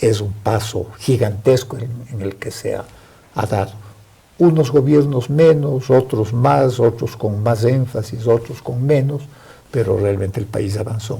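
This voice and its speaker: This man has a medium pitch and a dark, mellow, somewhat breathy tone. He talks at a fairly slow pace with ordinary pitch variation. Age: 70s. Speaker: former education minister, historian. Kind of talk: TV interview. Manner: formal.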